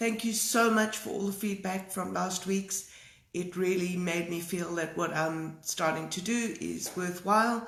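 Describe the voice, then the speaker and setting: Room echo can be heard on this recording. The intonation stays fairly even. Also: woman. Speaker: art teacher. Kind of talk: live stream talk. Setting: live video stream. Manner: hesitant, many fillers.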